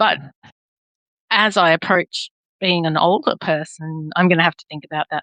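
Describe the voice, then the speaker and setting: With an Australian accent, a woman talks at a moderate pace in a fairly low pitch, her intonation flat and monotone, the sound dry and close with no echo. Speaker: podcast host. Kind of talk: interview conversation.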